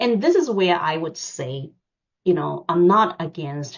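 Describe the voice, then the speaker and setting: A woman with a non-native accent talks at a fairly slow pace and a fairly low pitch, with ordinary pitch variation. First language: not English. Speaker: finance executive. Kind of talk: seminar talk. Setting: online seminar. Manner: hesitant, many fillers.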